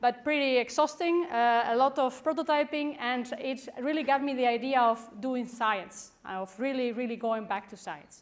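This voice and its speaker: A woman with a Spanish accent talks at a moderate pace and high pitch with ordinary pitch variation and hardly any pauses. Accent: Spanish accent, stronger when nervous. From Spain. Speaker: professor. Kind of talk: conference talk. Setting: stage with audience.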